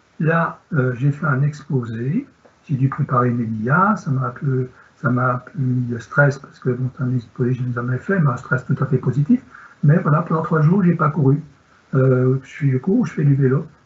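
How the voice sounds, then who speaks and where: A man with a fairly high pitch speaks at a moderate pace with ordinary pitch variation over noticeable background noise. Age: 60s. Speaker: sports medicine doctor. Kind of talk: Q&A answer; lecture.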